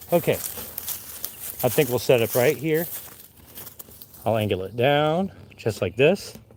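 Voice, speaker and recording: At a fairly slow pace, a man talks. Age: 40s. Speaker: tree climber, arborist. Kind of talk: casual vlog tutorial. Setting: outdoors. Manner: loud; casual, chatty.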